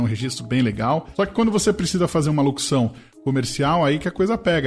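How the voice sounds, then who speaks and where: A man speaks fairly fast in a fairly high voice while music plays behind him. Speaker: radio announcer and sports commentator. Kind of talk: casual talk about voice work. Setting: home recording, directional microphone.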